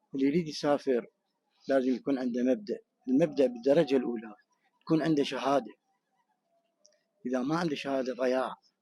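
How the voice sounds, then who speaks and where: A man's dark, mellow voice in an Iraqi accent, with fairly even intonation and long, frequent pauses. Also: medium pitch for a man. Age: 60s. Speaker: returning expatriate interviewed in the street. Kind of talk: street interview.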